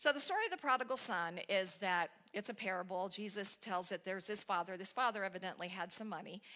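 A woman speaks at a very fast pace with hardly any pauses. Her pitch is medium with ordinary pitch variation, over a quiet background. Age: 60s. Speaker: spiritual speaker. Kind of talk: sermon. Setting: church. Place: church.

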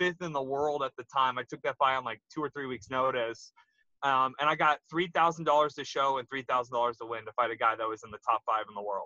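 A man speaks at a fairly high pitch in a bright, sharp tone. The sound is dry, with no echo. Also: quiet background. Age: 30s. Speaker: retired MMA fighter. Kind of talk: casual interview chat. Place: car. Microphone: video call.

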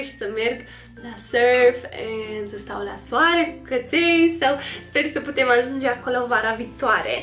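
A woman with an American accent speaks in an upbeat tone at a fairly slow pace, her pitch high, with music in the background. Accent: American accent in Romanian. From United States. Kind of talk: casual talk to camera.

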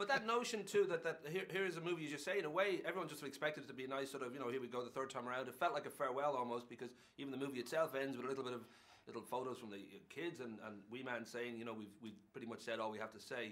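A man speaks at a very fast pace with lively intonation. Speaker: film interviewer. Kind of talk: interview question. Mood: playful, amused, chatty.

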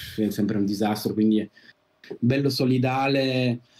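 A man talks at a very slow pace. His intonation is monotone and flat. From Italy, Turin; Italy. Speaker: first camera assistant; podcast guest. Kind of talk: interview. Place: home room.

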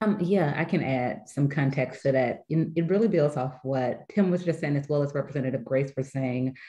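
Someone with an American accent talks very fast in a dark, mellow, somewhat breathy voice. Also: woman, quiet background. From US South. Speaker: nonprofit leader; panelist. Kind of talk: panel discussion. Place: home room. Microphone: webcam.

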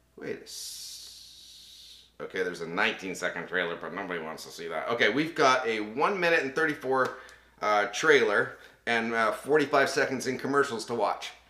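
Amid audible room echo, a man talks at a fairly quick pace with big swings in loudness and very wide pitch swings. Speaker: voice actor. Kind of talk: casual talk to camera. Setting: studio. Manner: casual, chatty, humorous. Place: home room.

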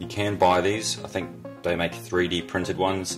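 Clear music plays in the background as a man speaks in a very deep, low voice. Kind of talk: tutorial. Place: workshop. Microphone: phone near.

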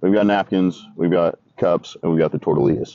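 The speaker talks at a moderate pace over light background noise. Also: man. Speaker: tailgate caterer host. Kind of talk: casual cooking vlog narration. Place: open country. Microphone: camera far.

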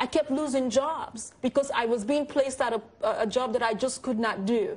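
High pitch in a woman's voice. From Nigeria. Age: 30s. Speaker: visual storyteller with visual impairment. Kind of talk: panel discussion. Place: studio. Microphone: lapel.

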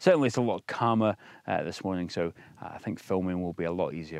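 Against a quiet background, a man speaks at a fairly quick pace in a dry sound with no echo. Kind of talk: casual vlog chat. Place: open country. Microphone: phone near.

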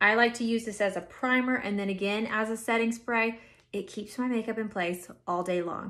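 Pitch varies in an ordinary way as a woman talks at a moderate pace. Nothing much is heard behind her, as the background is quiet. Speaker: makeup tutorial host. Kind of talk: tutorial. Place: home room. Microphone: phone near.

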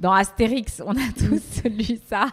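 Intonation is fairly even throughout. The background is silent and the recording very clean. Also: woman. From Paris, France. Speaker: PR professional and tablescaping influencer. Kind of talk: interview. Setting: podcast. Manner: hesitant, many fillers.

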